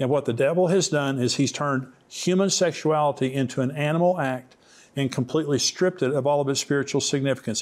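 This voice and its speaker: An unremarkable speaking voice belongs to a man with a fairly high pitch and ordinary pitch variation. He talks at a fairly quick pace on a very clean recording with a silent background. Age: 60s. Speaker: Bible teacher and author. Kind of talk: interview on end-times prophecy.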